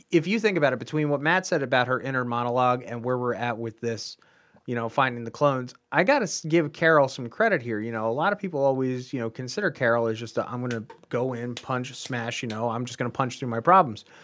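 A man talks at a very fast pace in a bright, sharp tone. His voice sits at a medium pitch with ordinary variation. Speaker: co-host pop culture commentator. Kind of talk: casual chat. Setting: studio.

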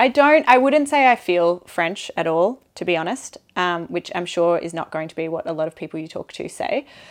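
With an Australian accent, a woman talks at a moderate pace with hardly any pauses, her fairly low pitch making very wide swings. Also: quiet background. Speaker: bike tour manager, guest. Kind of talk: casual interview chat.

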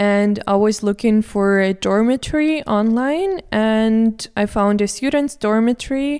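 This woman has a fairly high voice with a dark, mellow tone. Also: very clean recording, silent background. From Moscow, Russia. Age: 20s. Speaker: student. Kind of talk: casual interview chat. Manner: halting, with fillers.

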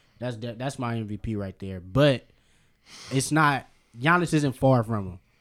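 A man with an American accent in a plain, everyday voice, medium pitch and ordinary pitch variation, big swings in loudness, at a fairly slow pace. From Berkeley, California. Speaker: sports podcast co-host. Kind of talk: casual chat.

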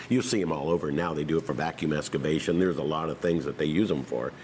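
With an American accent and vocal fry, a man with a very deep, low pitch speaks at a very fast pace. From California, Tracy area. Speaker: winery owner and former farmer. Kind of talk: oral history interview.

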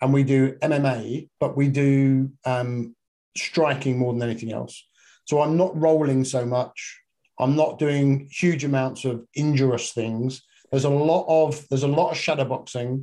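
In a British accent, a man with a fairly high pitch speaks in a dark, mellow tone with fairly even intonation. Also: fairly slow pace. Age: 50s. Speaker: fitness and functional medicine coach. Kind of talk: casual chat.

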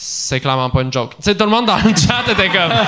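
A man in a Quebec accent talks at a very fast pace with an animated tone and lively intonation against noticeable background noise. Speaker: comedian. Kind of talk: casual chat.

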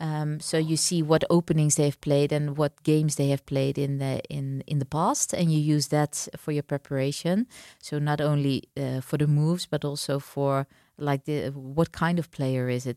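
A woman with a Dutch accent speaks at a very deep, low pitch in a dark, mellow tone with monotone, flat intonation, the sound dry and close with no echo in a very clean recording with a silent background. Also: moderate pace. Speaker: chess grandmaster. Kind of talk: interview; tutorial. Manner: halting.

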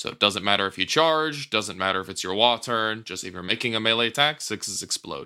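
Speaking with an American accent, a man with a fairly low pitch moves at a fairly quick pace in a bright, sharp tone, with ordinary pitch variation and big swings in loudness, in a very clean recording with a silent background. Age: young. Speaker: tabletop wargame player. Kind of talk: casual chat.

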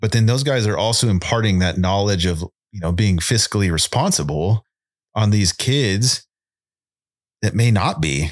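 Speaking in a Californian accent, a man uses a fairly low pitch with ordinary pitch variation, at a moderate pace with long, frequent pauses. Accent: Californian American. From Southern California. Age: 30s. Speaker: firefighter paramedic. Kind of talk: casual chat.

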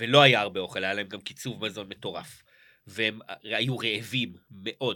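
His fairly low pitch carries a bright, sharp tone as this man speaks at a moderate pace with fairly even intonation. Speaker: podcast co-host, comedian. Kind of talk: casual chat.

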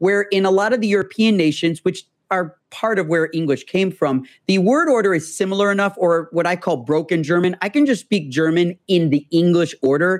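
A high-pitched man with an American accent at a fairly quick pace, his loudness very even. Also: ordinary pitch variation, very clean recording, silent background. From US Midwest. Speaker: tech entrepreneur. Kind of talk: casual interview conversation. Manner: fast talker.

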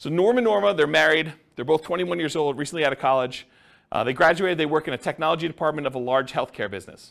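The voice races at a very fast pace with lively intonation, captured in a very clean recording with a silent background. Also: man. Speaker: real estate investing instructor. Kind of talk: lecture. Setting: live class with audience.

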